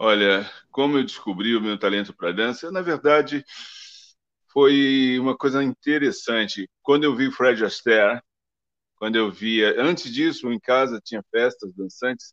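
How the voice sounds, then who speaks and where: A man speaks at a medium pitch and a fairly slow pace with ordinary pitch variation, recorded dry and close with no echo against a quiet background. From Brazil. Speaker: ballet dancer and advertising figure. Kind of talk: interview. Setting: live stream. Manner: halting.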